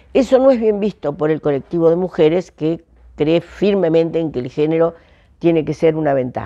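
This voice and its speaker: Against a quiet background, a woman speaks at a moderate pace with lively intonation. Her tone is dark and mellow, her pitch fairly low. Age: 70s. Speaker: economic historian. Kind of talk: interview.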